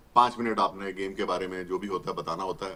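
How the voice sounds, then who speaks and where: A man with a Haryana accent at a moderate pace. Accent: Haryanvi. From India, Haryana belt village. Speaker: retired cricket umpire and commentator. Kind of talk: interview.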